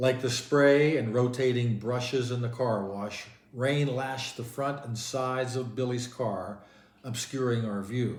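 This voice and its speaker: He has an ordinary speaking voice, medium in pitch. His pace is fairly slow and his pitch varies in an ordinary way. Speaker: audiobook narrator. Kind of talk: novel reading.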